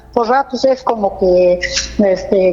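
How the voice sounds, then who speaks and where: Amid noticeable background noise, a woman speaks at a fairly slow pace and a medium pitch with ordinary pitch variation. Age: 70s. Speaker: caller. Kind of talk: phone-in question. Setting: phone call. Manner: halting.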